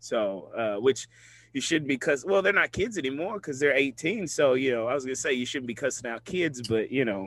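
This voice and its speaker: Speaking at a fairly quick pace in a normal speaking voice, a man with an American accent and a medium pitch uses lively intonation on a very clean recording with a silent background. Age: 20s. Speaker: podcast host. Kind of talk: casual chat.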